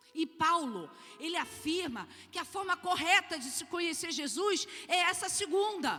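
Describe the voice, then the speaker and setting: A woman speaks in a raised, projected voice at an extremely high pitch. She goes at a fairly slow pace with ordinary pitch variation. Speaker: church conference speaker. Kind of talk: sermon.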